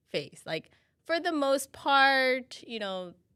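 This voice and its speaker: Speaking at a fairly slow pace, a woman with a bright, sharp tone and lively intonation comes through on a very clean recording with a silent background. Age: 40s. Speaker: live stream co-host, staff member. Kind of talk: casual panel chat on live stream. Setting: live stream.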